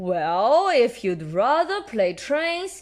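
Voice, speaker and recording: A woman in a put-on character voice talks high, her pitch swinging very widely. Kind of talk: bedtime story. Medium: read story. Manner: hearty, nautical.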